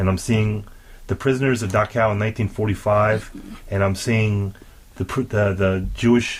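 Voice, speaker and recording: Somewhat breathy and fairly low-pitched, a man speaks at a fairly quick pace with fairly even intonation. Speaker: podcast host. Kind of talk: podcast interview, describing a museum.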